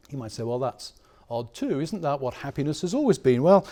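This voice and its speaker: Speaking in an English accent, a man uses a fairly high pitch and lively intonation. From England. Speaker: professor. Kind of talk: lecture. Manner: conversational, with hesitations.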